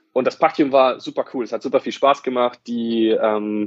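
A normal speaking voice at a fairly quick pace. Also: man. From northern Germany, Wolfsburg (Lower Saxony). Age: 20s. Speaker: fitness company area manager, university graduate. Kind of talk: podcast interview.

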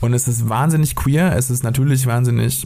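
Someone talks at a very fast pace with fairly even intonation. Noticeable background noise can be heard. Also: man. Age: 30s. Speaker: podcast co-host, freelance writer. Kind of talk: casual chat.

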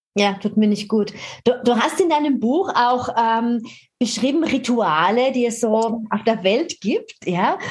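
A woman speaks at a very slow pace with a fairly high pitch. Her loudness stays very even. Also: lively intonation. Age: 50s. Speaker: podcast host and fitness author. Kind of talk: casual interview.

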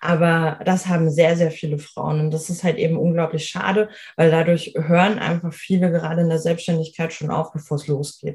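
Speaking at a moderate pace with hardly any pauses, a woman uses a fairly low pitch and monotone, flat intonation. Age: 30s. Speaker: life coach. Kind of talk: interview.

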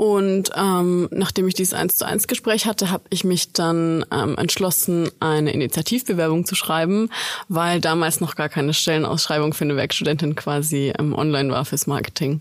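With an unremarkable speaking voice, a woman talks at a moderate pace and fairly low pitch, with hardly any pauses, very even loudness and ordinary pitch variation. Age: 20s. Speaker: student intern. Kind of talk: casual interview.

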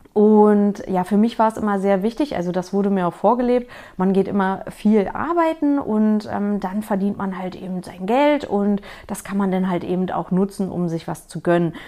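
The speaker has a slight Berlin accent, a moderate pace and ordinary pitch variation. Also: woman, medium pitch for a woman. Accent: slight Berlin-area. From small town near Berlin. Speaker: finance podcaster. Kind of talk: personal story monologue. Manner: hesitant, many fillers.

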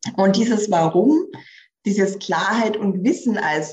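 A woman's somewhat breathy voice at medium pitch, with ordinary pitch variation. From rural village. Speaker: career coach. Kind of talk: podcast interview.

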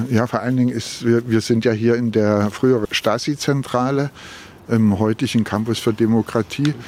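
Noticeable background noise surrounds this recording. A man speaks in a medium pitch with monotone, flat intonation. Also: moderate pace. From Berlin. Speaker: local politician. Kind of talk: walking interview. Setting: outdoors.

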